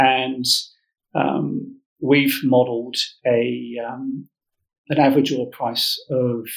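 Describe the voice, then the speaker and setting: With an English accent, a man is talking. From England. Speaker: mining company managing director. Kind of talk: business interview.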